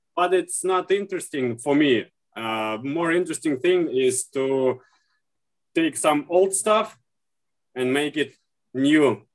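Speaking very slowly with long, frequent pauses, a man with a Russian accent uses lively intonation at a fairly high pitch. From Russia, St. Petersburg. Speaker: leather and shoe repairer. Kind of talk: interview. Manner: halting.

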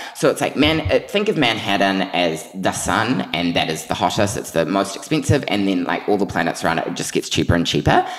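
This man speaks at a fairly quick clip with hardly any pauses, in a New Zealand accent. His pitch sits fairly low, and there is noticeable background noise. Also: lively intonation. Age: 20s. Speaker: PR consultant and magazine editor. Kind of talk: casual chat. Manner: animated, excitable.

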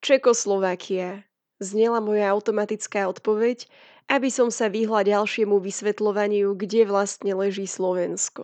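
Her intonation stays monotone and flat. This woman's voice sits at a medium pitch. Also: moderate pace, dry, close sound with no echo, quiet background. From Slovakia. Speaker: travel writer. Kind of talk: scripted narration.

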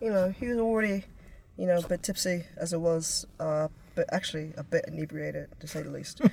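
Talking at a fairly quick pace, a woman with an ordinary speaking voice uses a fairly low pitch and ordinary pitch variation. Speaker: musician. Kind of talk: casual interview.

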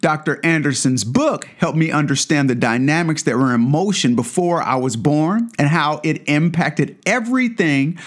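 With an American accent, a man talks at a moderate pace, his pitch swinging very widely. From US Midwest, Kansas City, Missouri. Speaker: podcast host. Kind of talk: solo book review monologue.

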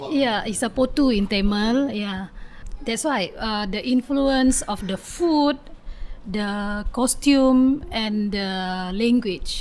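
A woman speaks with an Indonesian accent at a very slow pace. Her pitch is fairly high, with ordinary pitch variation. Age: 30s. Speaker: community advocate. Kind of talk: interview. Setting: outdoors on home patio. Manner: halting.

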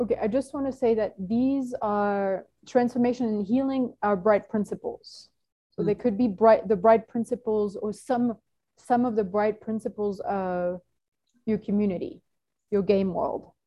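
A woman speaks at a moderate pace in a somewhat breathy, fairly high voice. Her intonation stays fairly even. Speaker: team facilitator. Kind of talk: group facilitation call. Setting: video call.

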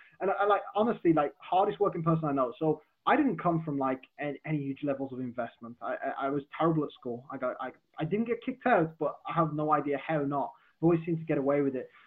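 Speaking very fast, a man uses lively intonation in a fairly high voice. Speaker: social media marketer. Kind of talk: casual interview. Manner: informal, swears casually.

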